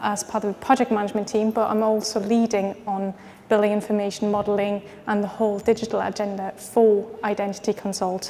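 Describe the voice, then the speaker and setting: A woman's flat, monotone delivery at a fairly quick pace, with noticeable background noise. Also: medium pitch for a woman. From France and Austria. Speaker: project manager and BIM consultant. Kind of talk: conference presentation. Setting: expo stand with audience, microphone. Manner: hesitant, many fillers.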